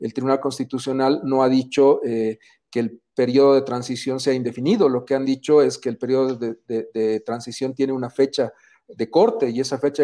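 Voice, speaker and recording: Over a quiet background, a man with a dark, mellow tone speaks at a moderate pace, with ordinary pitch variation. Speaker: co-host. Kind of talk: political debate.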